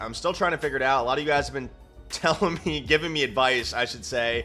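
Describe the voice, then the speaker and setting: Background music runs throughout. The man's pitch is medium, with ordinary pitch variation. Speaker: gaming YouTuber. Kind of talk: gameplay commentary. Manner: low energy.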